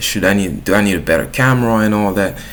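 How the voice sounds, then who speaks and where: A man speaks in a fairly low pitch with a French accent. Room echo is audible. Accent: French accent, self-noted. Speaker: YouTuber. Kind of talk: casual vlog monologue. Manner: casual, with filler words and restarts.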